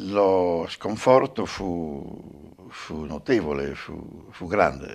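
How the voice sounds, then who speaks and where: Against a quiet background, a man with a very deep, low voice speaks very slowly yet with hardly any pauses, his intonation lively. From Romagna, Modigliana; Romagna. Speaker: former partisan, witness; witness. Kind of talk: testimony interview. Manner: halting, repeats words. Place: home room.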